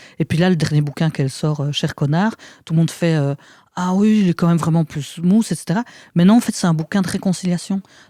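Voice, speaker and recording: At a fairly quick pace, a woman speaks in a fairly low, dark, mellow voice with ordinary pitch variation, dry and close with no echo in a very clean recording with a silent background. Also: big swings in loudness. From Belgium, province of Luxembourg. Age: 40s. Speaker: actress and author. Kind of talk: casual chat. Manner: halting; animated.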